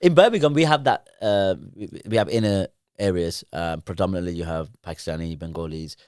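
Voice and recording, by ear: In a very clean recording with a silent background, a man with a low voice speaks at a fairly quick pace, his tone clear, smooth and slightly mellow, with ordinary pitch variation.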